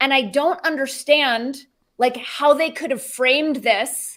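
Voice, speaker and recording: A woman's high-pitched voice with ordinary pitch variation at a fairly slow pace, in a very clean recording with a silent background. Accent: Southern California. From California, San Fernando Valley. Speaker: podcaster, former journalist. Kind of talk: casual interview chat.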